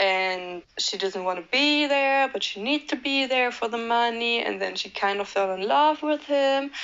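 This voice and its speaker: A woman at a fairly slow pace with hardly any pauses, a non-native accent, lively intonation and a fairly high pitch. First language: not English. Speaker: movie reviewer youtuber. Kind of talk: casual commentary. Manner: hesitant, many fillers.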